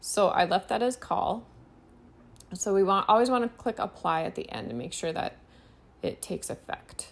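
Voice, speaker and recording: Using vocal fry, a woman of medium pitch speaks at a moderate pace with lively intonation and long, frequent pauses. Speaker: web design instructor. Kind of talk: tutorial.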